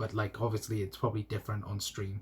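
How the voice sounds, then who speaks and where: A somewhat breathy man with a Welsh accent and fairly low pitch, on a very clean recording with a silent background. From South Wales. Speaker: YouTube football fan channel host. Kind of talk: live stream chat. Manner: stutter; casual, hesitant with fillers.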